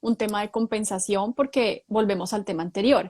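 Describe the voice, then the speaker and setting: A woman with an ordinary speaking voice talks at a fairly high pitch with fairly even intonation. The sound is dry and close, with no echo. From Colombia. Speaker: human resources professional. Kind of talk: live stream interview.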